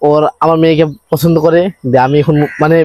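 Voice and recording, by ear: This man talks at a fairly quick pace with a fairly high pitch. His intonation stays fairly even.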